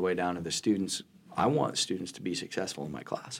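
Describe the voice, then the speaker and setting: Fairly quick and fairly even in intonation, a man with a very deep, low pitch comes through in a very clean recording with a silent background. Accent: American. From western Nebraska (Hemingford). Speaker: college math instructor. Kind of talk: interview.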